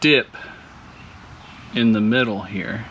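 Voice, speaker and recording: A quiet, mumbling man at a fairly slow pace, medium pitch with ordinary variation, over noticeable background noise. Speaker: car hobbyist vlogger. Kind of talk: casual monologue while working. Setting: home garage.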